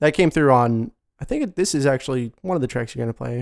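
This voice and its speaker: A man mumbles at a fairly quick pace, at a medium pitch with ordinary pitch variation. The recording is very clean with a silent background, and the sound is dry and close with no echo. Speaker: jazz and hip hop musician. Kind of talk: casual interview. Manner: mumbling.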